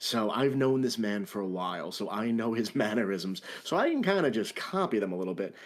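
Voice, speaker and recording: With very wide swings in pitch, a man talks at a moderate speed. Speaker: larp player and event NPC actor. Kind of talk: podcast interview.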